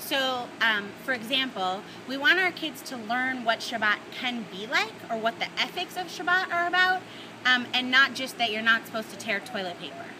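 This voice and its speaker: A woman with an American accent, high in pitch with very wide pitch swings, at a moderate pace over noticeable background noise. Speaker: rabbi. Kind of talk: casual video message.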